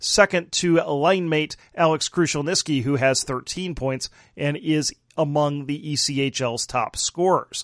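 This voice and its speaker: In a normal speaking voice, a man talks at a fairly slow pace and a fairly high pitch, against a quiet background, with a dry, close sound and no echo. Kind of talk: live commentary.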